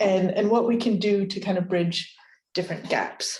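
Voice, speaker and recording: In an American accent, the voice is somewhat breathy and its pitch varies in an ordinary way. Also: woman. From United States. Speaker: creative industries researcher. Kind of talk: lecture.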